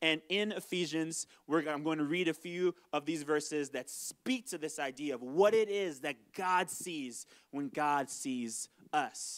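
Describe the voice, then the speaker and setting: Against a quiet background, a man speaks at a fairly slow pace with a fairly high pitch and ordinary pitch variation. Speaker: pastor. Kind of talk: sermon. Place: stage. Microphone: handheld.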